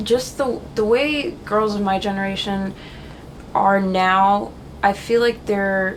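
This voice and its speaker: Audible room echo surrounds a woman speaking at a very slow pace. Her pitch sits in the medium range and varies in an ordinary way. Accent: American. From Haiti, then DC/Virginia and Florida. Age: 20s. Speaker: fashion model. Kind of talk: interview.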